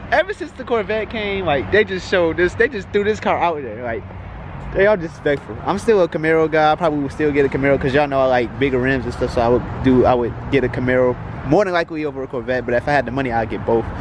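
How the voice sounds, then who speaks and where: Against noticeable background noise, a man talks at a very fast pace with a fairly high pitch and lively intonation. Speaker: car vlogger. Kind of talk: casual vlog commentary. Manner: stuttering.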